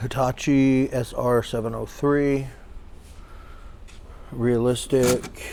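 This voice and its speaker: Very slow and broken by long, frequent pauses, a man's medium-pitched voice has a dark, mellow tone and monotone, flat intonation. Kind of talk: casual talk to camera, walking through an auction preview.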